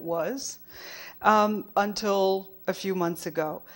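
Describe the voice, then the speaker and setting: The speaker is a woman with a French accent. She talks at a medium pitch. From France. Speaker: documentary filmmaker. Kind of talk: conference keynote talk. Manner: halting, many fillers and restarts.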